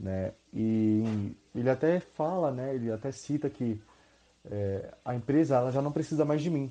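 This man has a dark, mellow tone. He speaks at a fairly slow pace with ordinary pitch variation. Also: medium pitch for a man, quiet background. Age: 20s. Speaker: university student. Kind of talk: casual chat. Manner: halting, many fillers.

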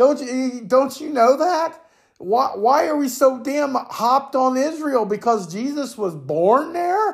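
This man's voice sits at an extremely high pitch, with lively intonation. He talks at a very slow pace. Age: 50s. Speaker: podcast opinion host. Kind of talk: profane solo political rant, no filter. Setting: home recording, cat in the background. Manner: angry, expletive-laden ranting with repeated stammered words; loud, self-described raging buffoon.

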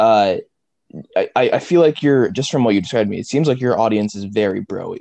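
At a fairly quick pace, a man speaks in a medium-pitched, dark, mellow voice that swings very widely in pitch. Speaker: podcast host. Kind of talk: casual interview.

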